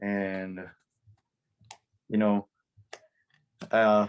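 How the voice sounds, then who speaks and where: A man with a Spanish accent at a very slow pace, flat and monotone, on a very clean, dry, close recording with no echo and a silent background. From El Salvador. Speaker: DJ. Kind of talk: interview. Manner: hesitant, many fillers.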